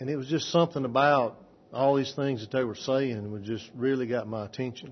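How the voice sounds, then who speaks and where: Speaking at a medium pitch and a moderate pace, a man keeps his intonation fairly even. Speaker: church member giving testimony. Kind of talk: testimony. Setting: church.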